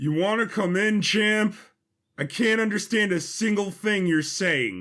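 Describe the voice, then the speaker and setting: Over a silent background in a very clean recording, a man uses a high-pitched put-on character voice at a fairly slow pace, keeping his loudness very even. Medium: audio drama. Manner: gruff, deadpan.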